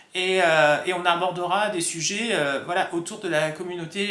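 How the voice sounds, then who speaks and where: A raised, projected voice carries at a fairly slow pace. Room echo is audible. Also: man. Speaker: vlogger. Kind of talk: casual talk to camera. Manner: hesitant, many fillers.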